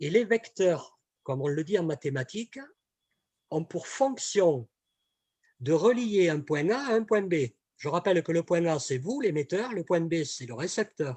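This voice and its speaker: Pausing long and often, a man speaks at a fairly slow pace in a high pitch with very wide pitch swings. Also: dry, close sound with no echo. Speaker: communication trainer. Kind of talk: webinar presentation. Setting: online webinar. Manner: hesitant, many fillers and repetitions.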